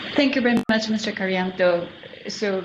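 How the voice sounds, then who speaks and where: There is audible room echo and noticeable background noise. Over it, a woman talks with ordinary pitch variation. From Japan. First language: Japanese. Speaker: panel moderator. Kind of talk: panel moderation. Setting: virtual conference.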